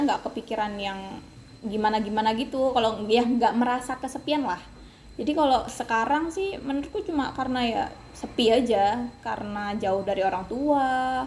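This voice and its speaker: A woman speaks in a high pitch at a moderate pace with ordinary pitch variation. Noticeable background noise sits behind her. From Kalimantan, Indonesia. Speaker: university student. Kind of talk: casual interview. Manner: hesitant, many fillers.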